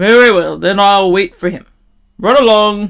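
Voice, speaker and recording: A loud, put-on character voice from a woman. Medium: read story. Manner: gruff, threatening.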